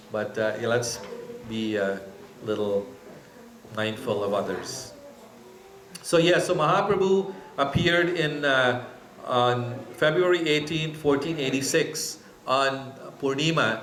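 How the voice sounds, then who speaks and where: Against noticeable background noise and audible room echo, a man with a fairly high pitch speaks at a fairly slow pace with lively intonation and long, frequent pauses. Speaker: temple speaker. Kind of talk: religious class with audience questions. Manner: hesitant with fillers.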